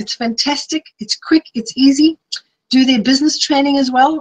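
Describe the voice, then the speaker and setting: Ordinary pitch variation in a dry, close sound with no echo. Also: woman. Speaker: health coach and author. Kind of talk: webinar presentation. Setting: live online webinar. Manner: fast.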